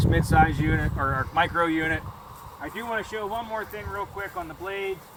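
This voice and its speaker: A man at a fairly quick pace with ordinary pitch variation, over noticeable background noise. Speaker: equipment company founder. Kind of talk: product walkthrough. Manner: casual, conversational.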